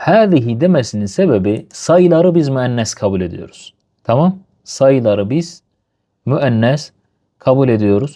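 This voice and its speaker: At a fairly slow pace, a man speaks in a dark, mellow tone with very wide pitch swings. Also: medium pitch for a man. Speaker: Arabic language teacher. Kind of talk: lesson. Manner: slow, repetitive.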